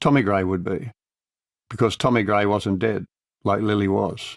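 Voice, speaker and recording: A man with an Australian accent, fairly low-pitched, at a moderate pace on a very clean recording with a silent background. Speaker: audiobook narrator. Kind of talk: audiobook narration of a crime novel. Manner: dry, laconic, wry.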